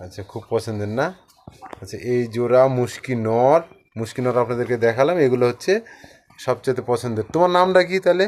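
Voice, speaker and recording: In a plain, everyday voice, a man speaks at medium pitch with lively intonation and big swings in loudness. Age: 30s. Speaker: pigeon video channel host. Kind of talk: on-location interview.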